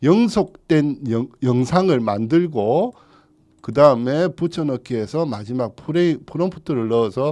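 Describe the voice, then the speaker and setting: A man at a fairly slow pace with lively intonation, against a quiet background. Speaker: real estate broker teaching staff. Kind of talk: tutorial. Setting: studio. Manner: casual, conversational; stumbles over words.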